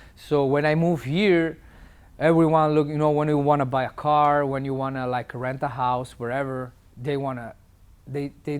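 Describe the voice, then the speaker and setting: With an Italian accent, a man speaks at a moderate pace in a fairly high pitch and fairly even intonation. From Italy. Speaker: tattoo artist. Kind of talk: interview answer.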